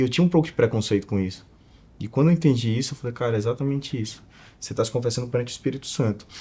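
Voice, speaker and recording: A man speaks very fast at a medium pitch, with ordinary pitch variation and a dark, mellow, somewhat breathy tone. The recording is very clean, with a silent background. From Northeast Brazil, Alagoas (Maceió). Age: 20s. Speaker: entrepreneur and investor. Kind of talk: casual interview chat.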